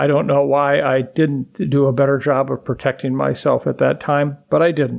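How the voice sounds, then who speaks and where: A man talks at a moderate pace with a fairly high pitch. The recording is very clean, with a silent background. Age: 70s. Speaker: infectious disease expert. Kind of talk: podcast commentary.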